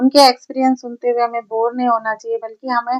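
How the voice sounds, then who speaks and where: A woman with a high pitch talks in a monotone, flat intonation, the sound dry and close with no echo. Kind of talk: motivational talk.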